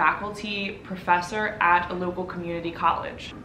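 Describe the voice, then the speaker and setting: With audible room echo and light background noise, a woman speaks at a moderate pace using fairly even intonation. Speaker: channel host. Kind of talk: casual vlog intro. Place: home room. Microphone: camera far.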